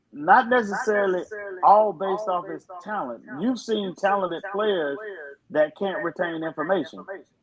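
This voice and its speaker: A loud, high-pitched male voice at a moderate pace. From Alabama. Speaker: football head coach. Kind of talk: podcast interview.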